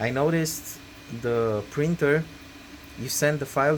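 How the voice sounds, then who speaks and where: Over noticeable background noise, a man with a non-native accent talks at a fairly slow pace with ordinary pitch variation. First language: not English. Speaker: 3D printing hobbyist youtuber. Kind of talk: tutorial. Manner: hesitant, many fillers. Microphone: bad audio.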